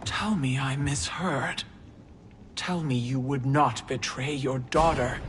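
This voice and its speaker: A put-on character voice at a low-to-middle pitch moves at a fairly slow pace. Clear background noise runs underneath. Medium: video game.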